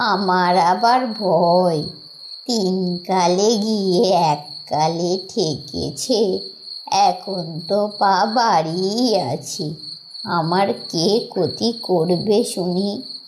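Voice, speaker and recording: In a cartoonish character voice, a female-sounding speaker talks very slowly at a medium pitch over clear background noise. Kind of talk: horror cartoon villain. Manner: sly, menacing.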